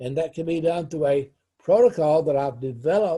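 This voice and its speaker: The voice has a dark, mellow tone and ordinary pitch variation at a moderate pace. The recording is very clean, with a silent background. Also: man. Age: 80s+. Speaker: life coach and counselor. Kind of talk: teaching monologue to camera. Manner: repetitive, emphatic.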